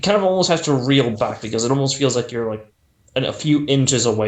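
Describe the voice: Plain reading aloud. The intonation is lively.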